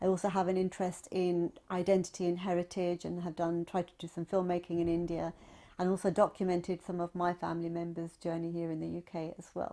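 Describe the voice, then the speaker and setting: The speaker goes at a very fast pace in a dark, mellow tone. The intonation stays monotone and flat. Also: woman, fairly low pitch for a woman. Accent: London. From Southwest London. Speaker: technology professional and writer. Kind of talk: oral history interview.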